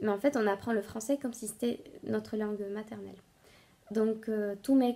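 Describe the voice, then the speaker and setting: Her pitch fairly high and her intonation fairly even, a woman speaks at a fairly slow pace. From Bolivia (La Paz). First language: Spanish (speaking French). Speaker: knitting podcaster. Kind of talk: casual vlog talk to viewers. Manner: halting, many hesitations.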